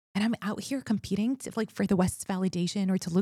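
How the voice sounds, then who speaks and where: At a fairly quick pace, a woman speaks with a dark, mellow tone, a somewhat breathy quality, medium pitch and ordinary pitch variation. The sound is dry and close, with no echo. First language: Arabic. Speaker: communications expert. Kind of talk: interview conversation.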